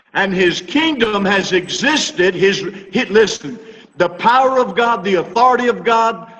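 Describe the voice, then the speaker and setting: Noticeable background noise sits behind a man speaking at a very slow pace. His high pitch carries ordinary pitch variation and very even loudness. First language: English (speaking Spanish). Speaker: Bible teacher. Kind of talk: sermon.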